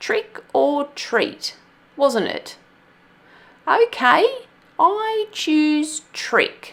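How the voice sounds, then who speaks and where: Putting on a character voice, a woman speaks very slowly in a high pitch, with very wide pitch swings and long, frequent pauses. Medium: read story. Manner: sweet.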